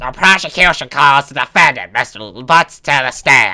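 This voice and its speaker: Using a put-on character voice, a man speaks at a fairly high pitch. His pace is moderate. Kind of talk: courtroom speech. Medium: game stream.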